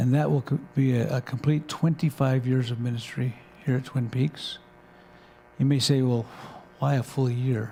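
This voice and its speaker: A man with a dark, mellow, somewhat breathy tone speaks with long, frequent pauses. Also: medium pitch for a man, fairly even intonation, moderate pace. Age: 60s. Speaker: pastor. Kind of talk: announcement to congregation.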